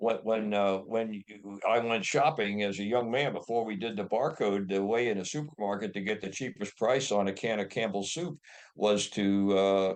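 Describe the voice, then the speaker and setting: A man's fairly low voice at a moderate pace, with ordinary pitch variation and hardly any pauses. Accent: Midwestern American. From US Midwest (Ohio). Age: 80s+. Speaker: inventor. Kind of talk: interview. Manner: halting.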